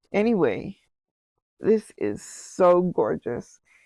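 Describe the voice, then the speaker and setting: In a dry, close recording with no echo and a quiet background, a woman speaks at a medium pitch in a dark, mellow tone. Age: 60s. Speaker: knitting video host. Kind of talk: casual vlog chat. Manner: enthusiastic, animated.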